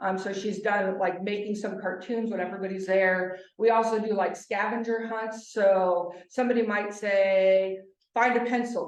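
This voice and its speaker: A woman speaks in a monotone, flat way, with audible room echo around her. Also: medium pitch for a woman. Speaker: nonprofit organization representative. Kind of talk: presentation with slides. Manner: fast.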